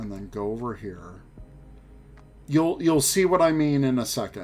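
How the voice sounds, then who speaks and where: With music in the background, a man speaks in big swings of loudness and very wide pitch swings, leaving long, frequent pauses. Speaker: streamer. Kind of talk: live stream tutorial chat. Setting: live stream. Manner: casual, chatty.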